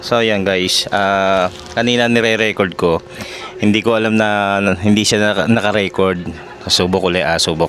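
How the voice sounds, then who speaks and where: Noticeable background noise sits behind a man with a fairly low pitch. He keeps a moderate pace, very even loudness and fairly even intonation. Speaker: vlogger. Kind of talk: casual vlog, unboxing and mic test. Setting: at home, cooking. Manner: soft-spoken; halting.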